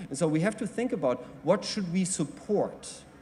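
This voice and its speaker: A man with a German accent at a moderate pace. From Germany. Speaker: mobility industry panelist. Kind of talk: panel presentation. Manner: halting.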